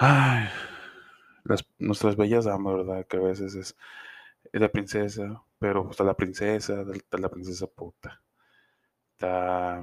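In a Mexican accent, a man speaks at a very slow pace with a fairly low pitch, monotone, flat intonation and long, frequent pauses, captured as a dry, close sound with no echo in a very clean recording with a silent background. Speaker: podcaster. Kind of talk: casual monologue. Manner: informal, slangy.

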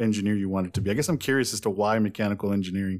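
A slightly mellow tone with fairly even intonation. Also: man.

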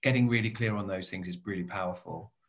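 A man talks in a somewhat breathy voice. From Cornwall, southwest England. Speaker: coach and business owner. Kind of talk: interview conversation.

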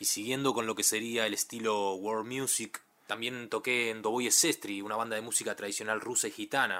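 In a bright, sharp tone, a man at medium pitch speaks fairly quickly in a flat monotone with hardly any pauses. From Argentina, Ituzaingó (western Greater Buenos Aires). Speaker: musician and producer. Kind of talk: recorded personal presentation.

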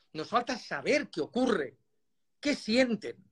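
A high-pitched man's voice at a fairly slow pace, dry and close with no echo. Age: 70s. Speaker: motorcycle magazine founder and former racer. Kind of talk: casual chat. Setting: Instagram live video call.

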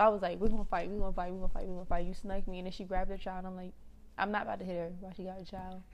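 With an American accent, a woman at a medium pitch talks at a very fast pace in a flat monotone, her loudness swinging widely amid audible room echo. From Washington DC area (DMV, Prince George's County). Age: 20s. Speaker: podcast co-host. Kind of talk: casual chat.

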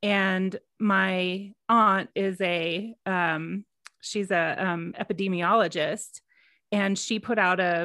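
Dry and close with no echo, a woman's normal speaking voice at medium pitch comes in an American accent with fairly even intonation, on a very clean recording with a silent background. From Texas. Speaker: yoga podcast co-host. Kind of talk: casual chat.

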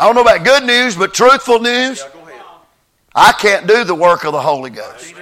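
A man's raised, projected voice sits at an extremely high pitch, with a bright, sharp tone and lively intonation. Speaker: visiting revival preacher. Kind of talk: sermon. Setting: church.

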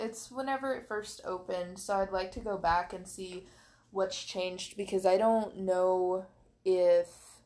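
This woman has an ordinary speaking voice at a medium pitch, talking at a moderate pace with ordinary pitch variation and big swings in loudness on a very clean recording with a silent background. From US Midwest (southern Missouri). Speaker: podcast co-host. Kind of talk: casual chat.

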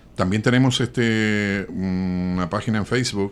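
At a fairly slow pace, a man speaks on a very clean recording with a silent background. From Chile. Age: 60s. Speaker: journalist. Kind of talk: interview. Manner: hesitant with fillers.

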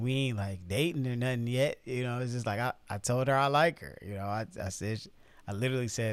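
In a very clean recording with a silent background, a man with an American accent speaks at a fairly quick pace in a plain, everyday voice, with medium pitch, ordinary pitch variation and big swings in loudness. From Chicago. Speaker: podcast co-host. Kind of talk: casual chat. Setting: studio.

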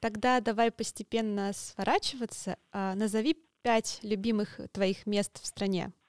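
In a very clean recording with a silent background, a woman with an ordinary speaking voice talks at a fairly high pitch and a fairly slow pace, her loudness very even and her intonation fairly even, the sound dry and close with no echo. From Russia. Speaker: podcast host. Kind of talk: interview; scripted intro.

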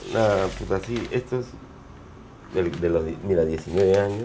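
A fairly slow pace with ordinary pitch variation, amid noticeable background noise. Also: man. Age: 40s. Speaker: punk band singer. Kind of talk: casual interview.

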